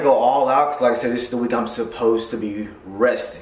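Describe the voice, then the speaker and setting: A man talks at a fairly quick pace with a medium pitch and ordinary pitch variation. The audio has audible room echo and noticeable background noise. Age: 30s. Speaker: powerlifter, coach and veteran vlogger. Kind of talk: casual vlog talk to camera. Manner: casual, profane.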